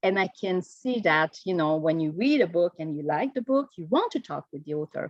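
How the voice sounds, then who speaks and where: In a Quebec French accent, a woman speaks at a moderate pace, her medium pitch making very wide swings. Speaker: Quebec government delegate. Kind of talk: conference presentation. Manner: halting.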